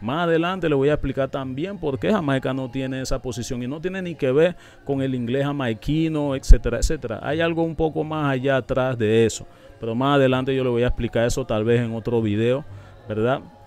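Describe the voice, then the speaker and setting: Heard as a dry sound with no echo, a man talks at a fairly quick pace with ordinary pitch variation. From Panama. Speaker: YouTube reaction channel host. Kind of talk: commentary video explaining an interview. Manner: animated. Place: studio. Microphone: studio mic.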